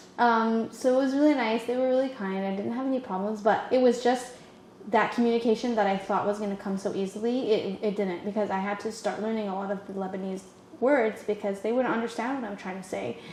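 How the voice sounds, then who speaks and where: A woman talks at a very fast pace in a fairly high voice with fairly even intonation, amid noticeable background noise. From Canada. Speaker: podcast guest. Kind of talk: casual chat. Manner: halting, many restarts.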